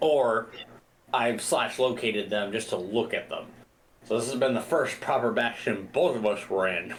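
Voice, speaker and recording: With audible room echo, a man speaks at a medium pitch. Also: ordinary pitch variation, moderate pace. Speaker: gaming video creator. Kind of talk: casual gameplay commentary.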